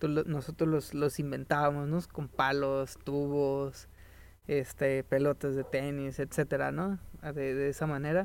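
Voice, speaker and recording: In a Mexican accent, a man with fairly high pitch speaks at a fairly slow pace in a flat monotone, recorded very cleanly against a silent background. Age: 20s. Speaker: podcast co-host. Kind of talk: casual chat. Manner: halting.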